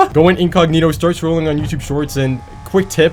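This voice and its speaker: Noticeable background noise sits behind a man talking at a fairly quick pace. His pitch is fairly high and his intonation fairly even. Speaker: YouTube creator. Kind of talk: casual tutorial while gaming. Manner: fast.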